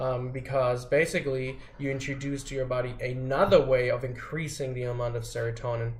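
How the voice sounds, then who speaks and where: A man speaks at a medium pitch and a fairly quick pace with hardly any pauses. His delivery is flat and monotone, and room echo is audible. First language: not English. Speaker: vlogger sharing personal experience. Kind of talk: casual explanatory monologue. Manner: halting, many fillers and restarts. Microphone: poorly recorded.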